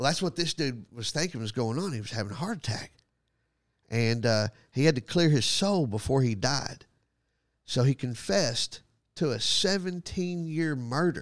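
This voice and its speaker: In a very clean recording with a silent background, a man with a Texan accent speaks with lively intonation. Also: medium pitch for a man, moderate pace. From Texas, Graham. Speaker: comedian and podcast host. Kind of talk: casual chat.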